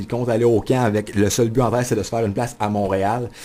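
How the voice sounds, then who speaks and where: With a dark, mellow tone, a man talks at a very fast pace. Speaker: sports journalist and radio columnist. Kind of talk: radio studio interview answer about his new hockey column. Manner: enthusiastic, fast-paced.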